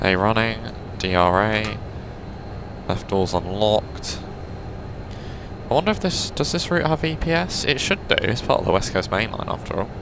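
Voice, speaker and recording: A man with a fairly low pitch speaks at a moderate pace, his pitch swinging very widely. Long, frequent pauses break up his speech amid noticeable background noise. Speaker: gaming video creator. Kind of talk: gameplay commentary. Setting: home recording room. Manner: casual, chatty.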